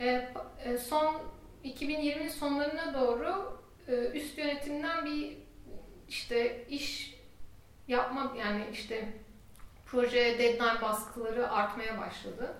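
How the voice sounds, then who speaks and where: A woman speaks at a very slow pace with long, frequent pauses. Her high pitch shows ordinary pitch variation, and the room echo is audible. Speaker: software team lead. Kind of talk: casual chat.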